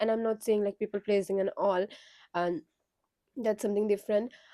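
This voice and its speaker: A woman with a fairly high pitch and a dark, mellow tone is heard in a dry, close recording with no echo. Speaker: spiritual content creator. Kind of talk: casual talk to camera. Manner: conversational with hesitations.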